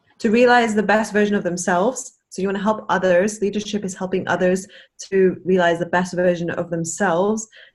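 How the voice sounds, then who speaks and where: A woman talks at a fairly quick pace in a medium pitch. Her intonation stays fairly even. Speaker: network marketing team member. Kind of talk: casual chat. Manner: fast.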